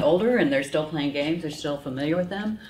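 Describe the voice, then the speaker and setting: A woman's very deep, low voice with ordinary pitch variation and an American accent, with noticeable background noise and audible room echo. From United States. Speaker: professor and psychologist. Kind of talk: lecture.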